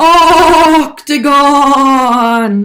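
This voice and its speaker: A high-pitched, put-on character voice does the talking. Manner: spooky.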